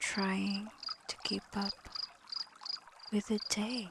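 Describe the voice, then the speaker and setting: A woman's fairly high, gentle-toned voice amid noticeable background noise. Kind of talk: soft-spoken ASMR reflection with scripture-inspired themes. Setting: layered with calming water and night sounds. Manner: soft-spoken, slow, gentle.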